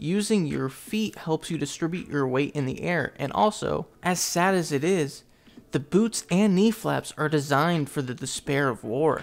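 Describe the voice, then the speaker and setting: The speaker has a plain, everyday voice and a moderate pace. Intonation is lively throughout. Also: man, fairly high pitch for a man. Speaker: anime commentary youtuber. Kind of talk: video essay narration.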